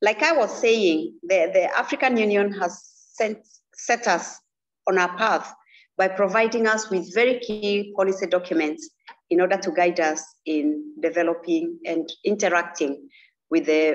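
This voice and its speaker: A woman's moderately paced speech sits over a quiet background. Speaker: remote speaker. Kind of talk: formal speech. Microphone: video call.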